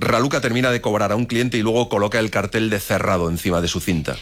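Delivered at a fast pace, the speech has a fairly bright tone and fairly even intonation. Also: man, fairly low pitch for a man.

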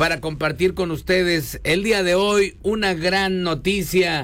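Speaking at a fairly slow pace, a man has a high pitch and a fairly bright tone. His pitch variation is ordinary.

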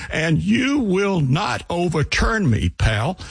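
A man shouting in a put-on character voice, high in pitch and very slow, with light background noise. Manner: shouting, angry.

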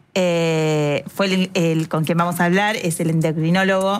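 A woman's voice of fairly low pitch with fairly even intonation.

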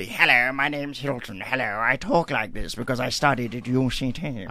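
Fairly quick delivery from a man in a put-on character voice. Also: medium pitch for a man. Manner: playful, showy.

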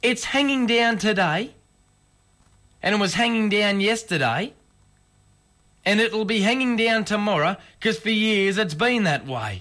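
A man puts on a character voice, high-pitched with a bright, sharp tone. He speaks at a fairly slow pace with lively intonation and long, frequent pauses.

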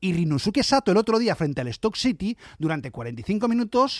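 A dramatic tone with big pitch swings at a fairly quick pace, in a dry, close sound with no echo and a very clean recording over a silent background. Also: man, high pitch for a man.

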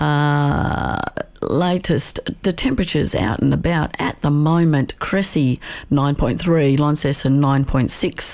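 Slow, slightly mellow speech with vocal fry and ordinary pitch variation

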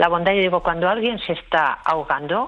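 This woman has a fairly low pitch and ordinary pitch variation. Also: fairly quick pace.

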